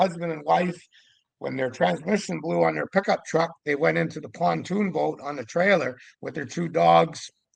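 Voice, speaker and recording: Vocal fry runs through a man's fairly high voice, which has lively intonation. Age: 60s. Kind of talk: casual interview. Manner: animated.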